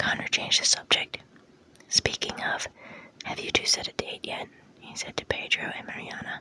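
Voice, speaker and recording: A soft-spoken whisper at a moderate pace, with a dry sound free of echo and light noise in the background. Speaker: reader of a novel. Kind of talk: audiobook-style read-aloud. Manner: soft close-mic ASMR whisper. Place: home room.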